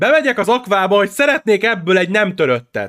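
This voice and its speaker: An animated man's high voice with very wide pitch swings, at a moderate pace. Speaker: gaming podcast co-host. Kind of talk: casual chat.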